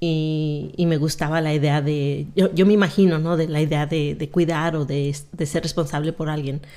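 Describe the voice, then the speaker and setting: Her pitch fairly low, a woman speaks at a fairly slow pace. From Mexico, Zacatecas; raised in California from age 8. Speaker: retired police officer; podcast guest. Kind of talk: interview, life story. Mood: calm, reflective. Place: studio. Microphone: studio mic.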